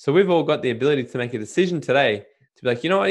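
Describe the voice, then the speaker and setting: Speaking in an Australian accent, a man lets his pitch swing very widely. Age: 20s. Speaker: entrepreneur and podcaster. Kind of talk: casual interview. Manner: animated.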